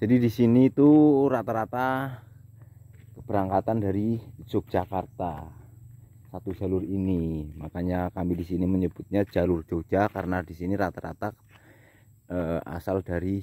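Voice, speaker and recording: A man speaks at a moderate pace in a very deep, low voice with a dark, mellow tone. His pitch varies in an ordinary way, and the sound is dry with no echo. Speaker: YouTube vlogger; village vlogger. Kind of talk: vlog narration. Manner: halting. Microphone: phone near.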